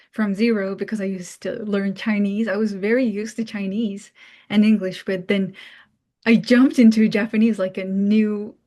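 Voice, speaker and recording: Against a quiet background, a woman with a Mongolian accent speaks in a fairly high pitch with a dark, mellow tone and fairly even intonation. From Mongolia, Ulaanbaatar. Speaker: international student. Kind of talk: talk. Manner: casual, many fillers.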